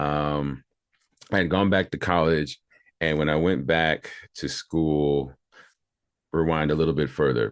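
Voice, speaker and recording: The recording is dry and close with no echo, over a quiet background. A man with a very deep, low voice speaks at a fairly slow pace in fairly even intonation, with long, frequent pauses. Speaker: voice actor, promo and radio imaging voice. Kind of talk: interview answer. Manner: casual, relaxed.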